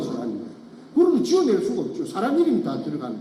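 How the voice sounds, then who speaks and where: A man's voice in a strong Gyeongsang accent, with noticeable background noise and audible room echo. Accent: thick Gyeongsang dialect. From Gyeongsang region, Korea. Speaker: former elementary school teacher, whistleblower. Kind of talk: testimony. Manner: halting.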